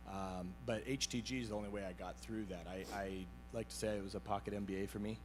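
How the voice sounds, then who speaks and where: Over background music, a loud voice races along at a very fast pace with very wide pitch swings. Room echo is audible. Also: man, fairly low pitch for a man. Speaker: IT business owner, peer group member. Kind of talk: panel interview on stage. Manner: halting, many fillers and repeats.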